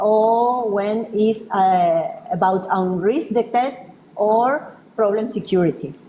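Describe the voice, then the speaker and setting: A woman with a Spanish accent talks at a very slow pace with a fairly high pitch and lively intonation. The room echo is audible and background noise is noticeable. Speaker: researcher presenting a project. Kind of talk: conference presentation. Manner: halting, many fillers.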